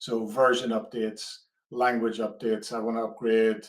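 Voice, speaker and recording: At a moderate pace, a man with a medium pitch speaks in an Irish accent. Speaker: product manager. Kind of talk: webinar presentation. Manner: hesitant, many fillers.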